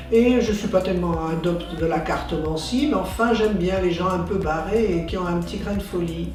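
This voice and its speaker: With noticeable background noise behind her, a woman speaks with hardly any pauses. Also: medium pitch for a woman, ordinary pitch variation, moderate pace. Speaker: stage actress and director. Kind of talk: interview answer.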